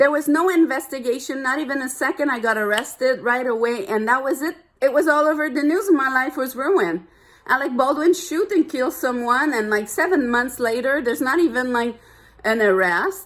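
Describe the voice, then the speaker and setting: A woman with a French accent speaks at a moderate pace in a high, animated voice with lively intonation. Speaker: vlogger. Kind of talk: personal rant to camera.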